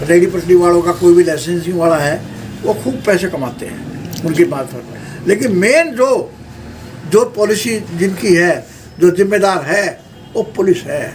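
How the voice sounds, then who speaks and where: A man with a high pitch speaks with big swings in loudness against noticeable background noise. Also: ordinary pitch variation. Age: 70s. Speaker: social worker and local politician. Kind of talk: interview. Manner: forceful.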